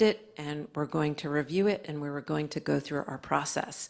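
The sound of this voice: A woman speaks low in pitch with a slightly mellow tone.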